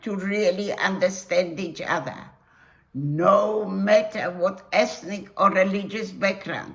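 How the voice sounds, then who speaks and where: The woman speaks at a very slow pace. Noticeable background noise is present. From Poland, Warsaw. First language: Polish. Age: 80s+. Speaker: Holocaust survivor. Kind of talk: testimony.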